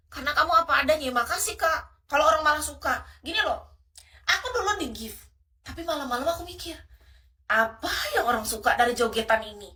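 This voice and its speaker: A woman with a high-pitched, shrill, bright, sharp tone uses a raised, projected voice at a very fast pace. Her pitch swings very widely and her loudness rises and falls in big jumps. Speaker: livestream host. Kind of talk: livestream chat with viewers. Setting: live stream. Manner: casual, chatty.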